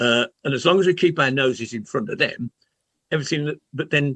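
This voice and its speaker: A man with a bright, sharp tone and lively intonation talks at a fairly quick pace, captured with a dry, close sound and no echo. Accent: Birmingham. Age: old. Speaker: football podcast panelist. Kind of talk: casual chat. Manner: halting, repeats words.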